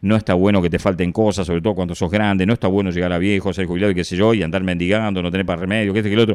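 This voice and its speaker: Very deep and low, a man with a Rioplatense accent speaks with ordinary pitch variation. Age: 60s. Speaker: radio host. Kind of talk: reflective monologue. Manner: casual, conversational.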